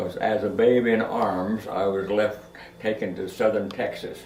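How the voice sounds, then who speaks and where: Audible room echo accompanies a man speaking with a Midwestern American accent at a fairly slow pace. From Kansas. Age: 90s. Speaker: family elder telling life stories. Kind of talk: oral history interview. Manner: halting.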